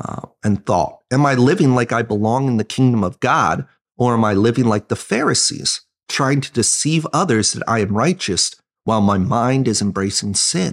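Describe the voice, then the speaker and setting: In a quiet background, a man talks at a moderate pace and medium pitch with lively intonation. He has a plain, everyday voice. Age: 30s. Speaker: associate pastor. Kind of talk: casual bible discussion podcast.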